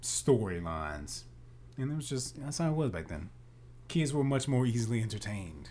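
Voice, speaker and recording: Somewhat breathy and dark, mellow in tone, a man at a medium pitch makes very wide pitch swings amid audible room echo. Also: moderate pace. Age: 20s. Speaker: podcast co-host, actor and screenwriter. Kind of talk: casual chat.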